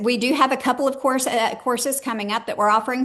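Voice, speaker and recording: A woman talks while background noise can be clearly heard. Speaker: enterprise transformation consultant. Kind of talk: webinar presentation. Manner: fast.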